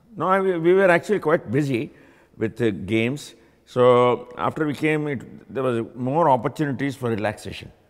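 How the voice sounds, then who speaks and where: Lively intonation from a man with an Indian accent, at a moderate pace, over a quiet background. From India (Gujarat). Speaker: university alumnus, engineer; interviewee. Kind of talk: oral history interview. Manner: halting, with frequent fillers and repeats. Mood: calm, reflective. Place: hall. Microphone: lapel.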